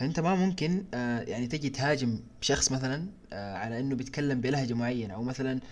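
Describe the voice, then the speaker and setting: In an unremarkable speaking voice, the speaker moves at a moderate pace with ordinary pitch variation. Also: man. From Sudan, partly raised in Saudi Arabia. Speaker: podcast co-host. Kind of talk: casual discussion.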